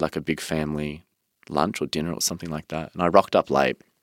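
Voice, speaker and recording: Someone with an Australian accent and vocal fry talks at a very fast pace, the sound dry and close with no echo on a very clean recording with a silent background. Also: man. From Melbourne, Australia. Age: 20s. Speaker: interviewee sharing mental health story. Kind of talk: personal testimony in interview.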